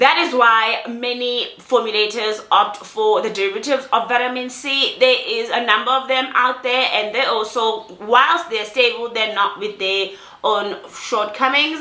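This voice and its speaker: Over noticeable background noise and audible room echo, a woman with a fairly high pitch speaks at a fairly slow pace with fairly even intonation and hardly any pauses. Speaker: skincare vlogger. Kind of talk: product review vlog. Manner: repetitive false starts.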